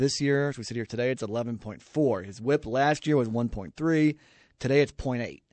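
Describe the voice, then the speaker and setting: A man with an ordinary speaking voice talks at a fairly quick pace, his medium pitch showing ordinary variation. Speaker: sports radio co-host. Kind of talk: sports talk radio commentary. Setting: radio studio. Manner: conversational, laughing, explaining plays.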